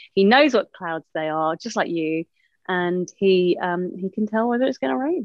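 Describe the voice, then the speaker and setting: Lively in intonation, a woman speaks at a moderate pace and a medium pitch. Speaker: TV newsreader. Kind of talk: casual chat.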